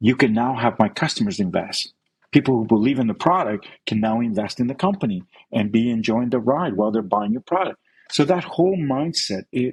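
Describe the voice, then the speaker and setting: Captured with a dry, close sound and no echo, a man talks fairly quickly at a medium pitch with lively intonation. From Chile, then Canada from age 10. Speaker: entrepreneur, crowdfunding platform founder. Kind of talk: podcast interview. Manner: animated.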